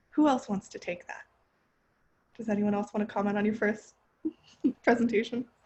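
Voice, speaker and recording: Somewhat breathy, this voice has an American accent and fairly even intonation. Its loudness swings widely, and the pauses are long and frequent. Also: woman, fairly high pitch for a woman. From California. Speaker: graduate student. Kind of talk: panel discussion. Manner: fast.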